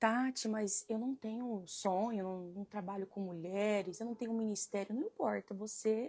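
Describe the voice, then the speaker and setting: Somewhat breathy and dark, mellow in tone, a woman speaks at a fairly high pitch and a moderate pace, with fairly even intonation and hardly any pauses. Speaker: women's devotional leader. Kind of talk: devotional live stream. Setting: live stream. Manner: soft-spoken at start.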